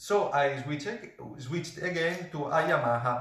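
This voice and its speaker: A man talks at a moderate pace in an Italian accent, his pitch fairly high with ordinary variation. Room echo is audible around his voice. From Italy. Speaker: professional saxophonist. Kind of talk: product review. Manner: halting, many fillers.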